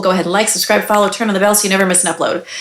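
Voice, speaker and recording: A woman speaks in an upbeat tone with an American accent. Noticeable background noise runs underneath. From New York. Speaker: doctor and health educator. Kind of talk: educational explainer video. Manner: fast; upbeat, conversational.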